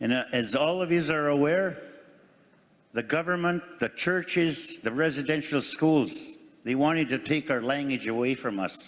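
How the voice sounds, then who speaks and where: A man speaks in a normal speaking voice at a moderate pace, with very even loudness, fairly high pitch and ordinary pitch variation. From Canada, First Nation community. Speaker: First Nations community delegate. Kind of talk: formal assembly speech. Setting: assembly floor microphone.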